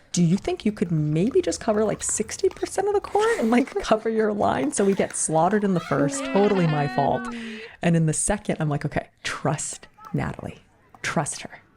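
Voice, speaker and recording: A quiet woman's voice, medium in pitch, with lively intonation and a moderate pace, over noticeable background noise. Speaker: pickleball podcast co-host and pro player. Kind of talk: casual chat. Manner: quiet, hushed.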